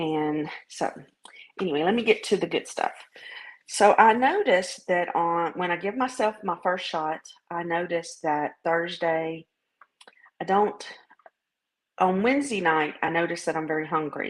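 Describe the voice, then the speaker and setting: Long, frequent pauses, ordinary pitch variation, and a Southern US accent. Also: woman, fairly low pitch for a woman, moderate pace. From US South. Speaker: vlogger sharing weight-loss journey. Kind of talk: casual video diary. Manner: hesitant, many fillers.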